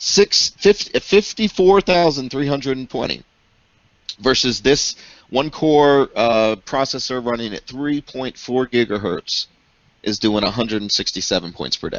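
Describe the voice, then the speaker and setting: A loud male voice of medium pitch with very wide pitch swings and a fairly slow pace. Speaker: tech show co-host. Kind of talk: casual chat.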